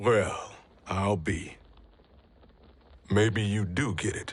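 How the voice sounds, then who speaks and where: A man's put-on character voice, raspy and fairly low in pitch, with fairly even intonation and a very slow pace. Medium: video game. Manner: blunt, colloquial.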